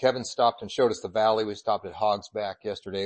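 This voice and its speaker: Here is a man with a medium pitch and an ordinary speaking voice. His intonation is fairly even. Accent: American. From Colorado. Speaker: church superintendent and preacher. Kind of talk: sermon. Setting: church.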